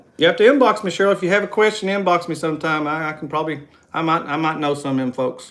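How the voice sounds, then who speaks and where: With a West Virginia accent, a man with a fairly high pitch speaks at a very fast pace with very wide pitch swings. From West Virginia coal fields. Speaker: travel vlogger. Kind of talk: casual chat. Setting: live stream.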